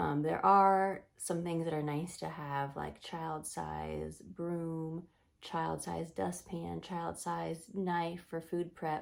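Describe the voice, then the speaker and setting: A woman speaks quietly at a very slow pace with hardly any pauses. The recording is very clean, with a silent background. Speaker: Montessori teacher and parenting vlogger. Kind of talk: casual talk to camera. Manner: quiet, lowered voice.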